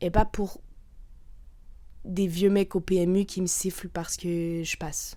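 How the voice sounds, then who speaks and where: Very slow and broken by long, frequent pauses, a woman's medium-pitched voice carries a dark, mellow tone. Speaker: podcaster. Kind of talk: casual monologue. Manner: loud; animated.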